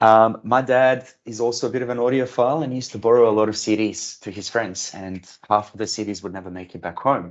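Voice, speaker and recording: A man talks very fast, with hardly any pauses and big swings in loudness. His medium pitch shows ordinary variation. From Bosnia, then Perth, Australia from age ten. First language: Bosnian. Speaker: software architect. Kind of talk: career talk to students. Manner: many fillers (um, uh).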